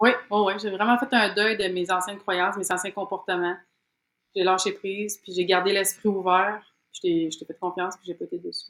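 A woman with a Quebec accent talks at a moderate pace and medium pitch, her intonation flat and monotone. Her loudness swings widely. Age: 30s. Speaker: program participant. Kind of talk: interview. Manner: hesitant, many fillers.

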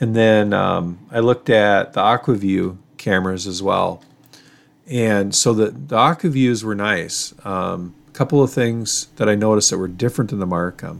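With an Upper Midwest accent, a man talks at a moderate pace, his fairly low pitch showing ordinary variation. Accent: Upper Midwest (Minnesota). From Minnesota, Duluth. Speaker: ice fishing podcast co-host. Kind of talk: casual chat.

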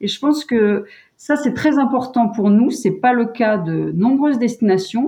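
Speaking fairly slowly, a woman has a fairly high pitch and a dark, mellow tone. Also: ordinary pitch variation. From French Alps (Savoie). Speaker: tourism communications director. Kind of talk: interview. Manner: hesitant, many fillers.

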